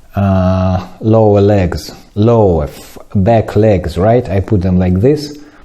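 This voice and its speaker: A man with a non-native accent speaks at a very slow pace with hardly any pauses and ordinary pitch variation. Noticeable background noise is present. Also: fairly low pitch for a man. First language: not English. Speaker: ceramics teacher. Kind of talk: tutorial. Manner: halting.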